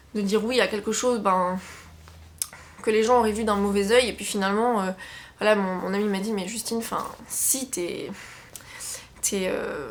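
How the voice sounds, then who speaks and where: Amid audible room echo, a woman speaks with fairly even intonation and long, frequent pauses. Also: fairly high pitch for a woman, moderate pace. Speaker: book YouTuber. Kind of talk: casual chat. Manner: hesitant, many fillers.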